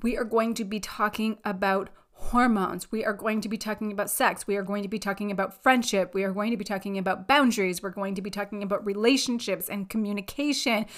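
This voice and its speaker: A woman talks very fast with hardly any pauses. Her medium-pitched voice has an animated tone. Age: 40s. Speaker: podcast host and life coach. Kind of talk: solo podcast monologue.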